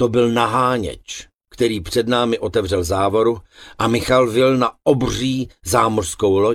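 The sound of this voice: A quiet background sits behind an unforced reading voice.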